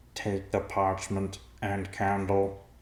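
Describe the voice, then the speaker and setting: A man's put-on character voice, fairly low in pitch, with monotone, flat intonation. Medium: read story.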